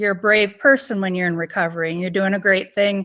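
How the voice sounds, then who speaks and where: A woman with an American accent and an ordinary speaking voice talks at medium pitch with ordinary pitch variation. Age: 60s. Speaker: person in recovery. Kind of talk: interview testimony.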